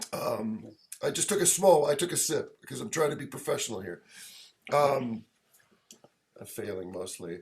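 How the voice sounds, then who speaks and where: A man with vocal fry speaks at a moderate pace and fairly high pitch, leaving long, frequent pauses. His pitch swings very widely, and his loudness varies greatly. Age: 50s. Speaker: record label owner and podcast host. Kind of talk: casual chat. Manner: halting, many fillers and restarts.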